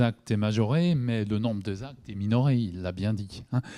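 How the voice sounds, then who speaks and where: A man speaks at a medium pitch and moderate pace with a dark, mellow tone and ordinary pitch variation, on a very clean recording with a silent background. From Alsace, Haut-Rhin. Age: 60s. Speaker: doctor and workshop moderator. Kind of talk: panel discussion.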